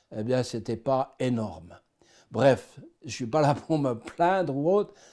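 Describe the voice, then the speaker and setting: Very slowly, a man speaks at a medium pitch in a dark, mellow tone with a slight Swiss French accent. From Switzerland, Swiss Jura. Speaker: person giving faith testimony. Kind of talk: testimony.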